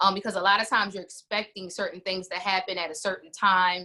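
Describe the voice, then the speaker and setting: A woman's bright, sharp tone at a fairly quick pace, with an American accent. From New Jersey. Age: 40s. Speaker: singer and worship leader. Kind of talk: interview.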